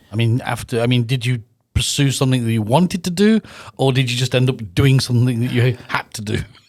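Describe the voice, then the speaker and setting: Talking at a very fast pace, a man with a British accent holds a medium pitch and ordinary pitch variation. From UK. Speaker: podcast host. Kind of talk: interview. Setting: studio.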